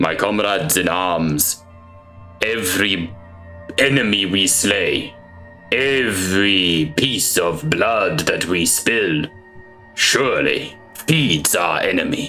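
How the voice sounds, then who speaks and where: Clear music plays in the background. Over it, someone puts on a character voice at a very slow pace. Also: man, fairly low pitch for a man. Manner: rousing, grandiose.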